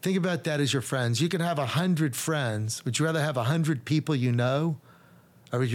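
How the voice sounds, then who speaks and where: With an American accent, the speaker has an ordinary speaking voice and moves at a fairly quick pace. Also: man. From Texas, Dallas. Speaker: real estate developer. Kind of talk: casual interview.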